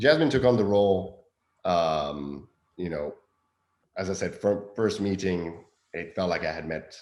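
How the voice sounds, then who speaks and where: At a fairly slow pace, a man with a non-native accent speaks at a fairly low pitch with lively intonation. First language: not English. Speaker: film director. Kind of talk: interview. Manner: halting, many fillers.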